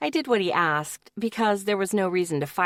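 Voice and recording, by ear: A passage is read aloud. The reading voice is natural.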